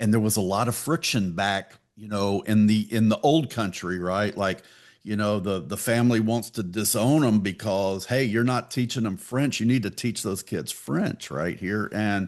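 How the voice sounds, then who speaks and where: Speaking in a Texan accent, a man uses a fairly low pitch, ordinary pitch variation and a moderate pace over a quiet background. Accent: Texan American. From Texas, Pasadena. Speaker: podcast host. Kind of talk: casual interview chat.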